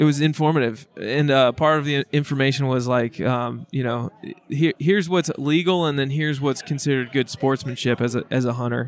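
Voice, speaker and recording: At a fairly quick pace comes a normal speaking voice. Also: man. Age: 30s. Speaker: podcast host. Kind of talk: casual chat.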